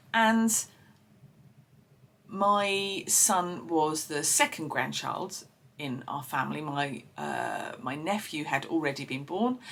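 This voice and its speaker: With an Essex accent, a woman speaks at a very slow pace in a very deep, low voice with vocal fry, lively intonation, and long, frequent pauses. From Essex, England. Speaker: podcast host. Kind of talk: personal storytelling. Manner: hesitant, many fillers.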